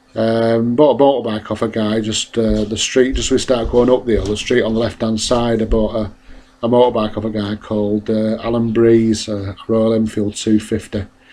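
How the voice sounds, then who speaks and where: With a Mancunian accent, a man speaks at a moderate pace in a dark, mellow tone, medium in pitch, his intonation monotone and flat. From northern England, Salford. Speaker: motorcyclist. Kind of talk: casual narration. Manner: hesitant.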